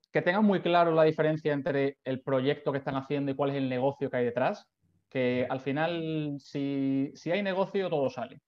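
A man's fairly high voice moves at a fairly slow pace. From Spain, Seville. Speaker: startup founder and CEO. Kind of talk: interview. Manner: halting, many repeated words.

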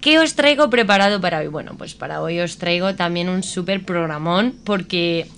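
A medium-pitched woman talks fairly quickly in an animated tone. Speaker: radio host. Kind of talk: casual chat.

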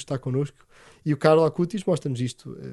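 The man's voice is fairly high with a dark, mellow tone. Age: 30s. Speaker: priest. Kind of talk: interview. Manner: enthusiastic.

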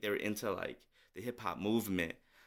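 A man speaks at a fairly low pitch with a bright, sharp tone. His intonation stays fairly even, and the recording is very clean with a silent background. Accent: American. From St. Paul, Minnesota. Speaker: hip-hop artist and spoken word poet. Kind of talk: interview.

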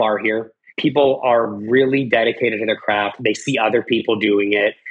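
At a moderate pace, a man with an American accent talks in a medium pitch with ordinary pitch variation. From Colorado (Arvada, between Denver and Boulder). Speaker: company CEO and entrepreneur. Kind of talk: interview conversation. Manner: animated.

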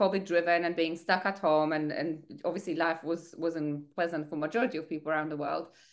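A woman speaks with a Polish accent at a fairly quick pace. The background is quiet. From Poland. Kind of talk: podcast interview, personal story.

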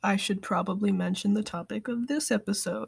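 Vocal fry and lively intonation at a moderate pace. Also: woman. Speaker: podcast host. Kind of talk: casual podcast monologue. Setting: at home, quarantined.

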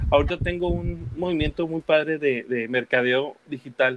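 This man's voice sits fairly high, moving at a moderate pace with ordinary pitch variation. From Guadalajara, Mexico, raised partly in the US. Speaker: muralist and visual artist. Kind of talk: casual interview. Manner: halting, many fillers and repetitions.

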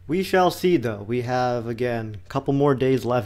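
A man's medium-pitched, normal speaking voice at a fairly quick pace. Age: 20s. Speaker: podcast host. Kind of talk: casual political chat.

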